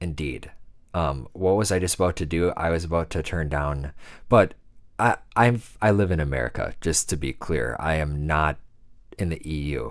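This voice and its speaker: The speaker has a Wisconsin accent, a relaxed tone and ordinary pitch variation, recorded very cleanly over a silent background. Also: man, very deep, low pitch for a man, moderate pace. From US Midwest, Wisconsin. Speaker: music producer. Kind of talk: livestream casual chat. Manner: relaxed, laid-back.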